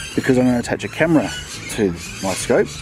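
Noticeable background noise sits behind a man's voice. The sound is dry, with no echo. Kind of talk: tutorial. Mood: relaxed, amused. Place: garden.

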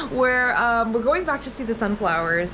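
Music plays in the background. A woman talks at a fairly quick pace. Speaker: vlogger. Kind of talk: casual vlog chat. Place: home room. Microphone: phone near.

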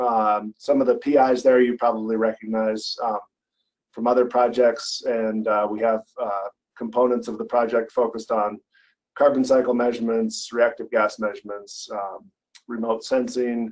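The background is quiet. Speech moves at a moderate pace. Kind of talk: lecture. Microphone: video call.

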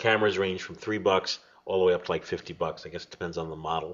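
The man's delivery is lively and animated. He talks somewhat quickly. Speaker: podcast host. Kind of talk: casual chat.

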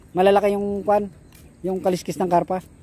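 Speaking fast, a man with a high pitch and a dark, mellow tone shows little pitch movement.

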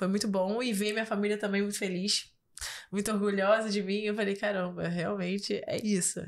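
Delivered with monotone, flat intonation, the talking proceeds at a moderate pace. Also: woman. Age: 20s. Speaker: model and influencer; influencer. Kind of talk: casual interview. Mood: warm, reflective. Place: studio. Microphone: studio mic.

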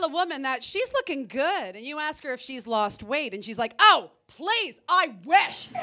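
A woman with a high pitch speaks at a fairly slow pace in an animated tone, her raised, projected voice bright and sharp, with very wide pitch swings and big swings in loudness. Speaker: comedian. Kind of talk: stand-up comedy set. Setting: stage with audience. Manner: animated, punchy; acts out voices of women and men for contrast. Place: stage. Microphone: handheld.

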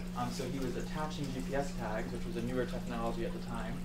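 A man at a very fast pace over loud background noise. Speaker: presenter. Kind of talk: conference talk. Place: meeting room. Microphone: camera far.

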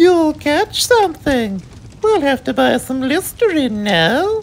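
A man's put-on character voice, extremely high in pitch, with big pitch swings and a slow pace.

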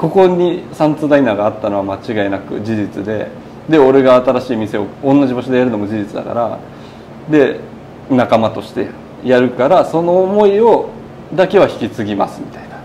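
A man talks at a fairly quick pace with lively intonation and a dark, mellow tone. Faint background noise can be heard. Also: medium pitch for a man.

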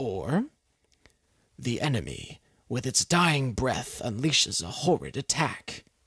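The recording is very clean, with a silent background, and the speech comes at a fairly slow pace. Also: man. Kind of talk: dramatic narration.

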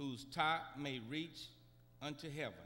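A man's bright, sharp tone at a very slow pace. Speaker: preacher. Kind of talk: sermon. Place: church. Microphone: podium.

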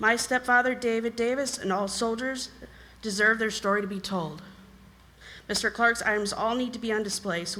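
Loud and fairly quick, a woman speaks with a bright, sharp tone and fairly even intonation, with audible echo from the room. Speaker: resident speaking at public comment. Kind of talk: public comment. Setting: town council meeting.

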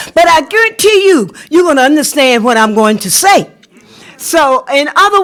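Noticeable background noise behind a woman with an American accent, her pace moderate. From US South, South Carolina. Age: 70s. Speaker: parent, public commenter. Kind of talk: public comment at board meeting. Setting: school board meeting.

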